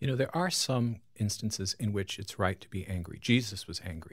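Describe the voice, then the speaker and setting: Over a silent background, a man speaks with an American accent. His voice is somewhat breathy, and the recording is very clean. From Long Island, New York. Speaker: pastor and author. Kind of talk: radio interview.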